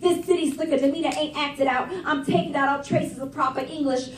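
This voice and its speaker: An animated tone against noticeable background noise. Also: woman. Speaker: slam poet. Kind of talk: spoken word performance. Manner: rhythmic, animated.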